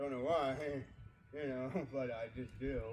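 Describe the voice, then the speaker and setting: This man's voice sits at medium pitch and is somewhat breathy. Room echo is audible around him. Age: 30s. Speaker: vlogger. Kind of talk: casual vlog talk to camera. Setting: outdoors by a backyard fire. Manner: soft-spoken.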